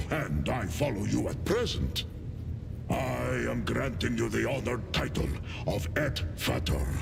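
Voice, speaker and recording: A man performs a put-on character voice at a moderate pace. Loud background noise is present. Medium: game stream. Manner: solemn, formal.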